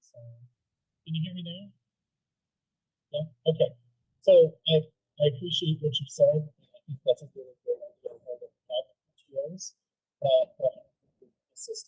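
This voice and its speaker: At a moderate pace, a woman speaks with long, frequent pauses and big swings in loudness. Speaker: school board member. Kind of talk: committee meeting discussion. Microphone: too quiet, hard to hear at first.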